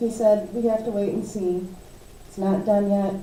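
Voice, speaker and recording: A woman speaks in an American accent at a fairly slow pace, medium in pitch. Her intonation is monotone and flat, with noticeable background noise and audible room echo. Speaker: county commissioner. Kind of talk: public meeting update.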